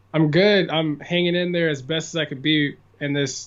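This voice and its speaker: With an American accent, a man talks at a moderate pace and a fairly high pitch, his intonation fairly even, against noticeable background noise. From California. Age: 20s. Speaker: musician. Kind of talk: podcast interview answer.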